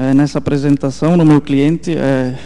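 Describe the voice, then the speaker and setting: A man's fairly high, monotone voice with flat intonation at a fairly slow pace. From southern Brazil, Santa Catarina (German-settled town). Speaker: software engineer presenter. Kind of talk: technical conference talk. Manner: halting, many fillers.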